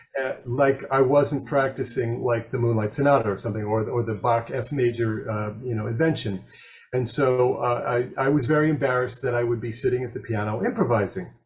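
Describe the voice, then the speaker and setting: A man with an American accent at a medium pitch, fairly quick pace and fairly even intonation, over noticeable background noise. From US Northeast, Long Island, Suffolk County. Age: 60s. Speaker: jazz pianist. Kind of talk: interview. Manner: halting, many fillers and restarts.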